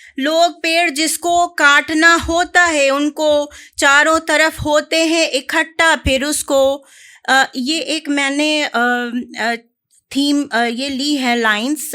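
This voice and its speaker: On a very clean recording with a silent background, a woman speaks in a raised, projected voice at a high pitch, with a bright, sharp tone and fairly even intonation. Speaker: poet. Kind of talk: casual introduction to audience. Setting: live stage with audience.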